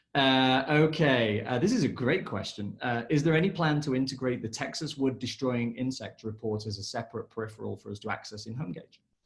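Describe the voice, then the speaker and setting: Somewhat breathy, a man with an English accent speaks at a fairly quick pace in a medium voice with ordinary pitch variation. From England. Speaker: session moderator. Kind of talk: live Q&A webinar.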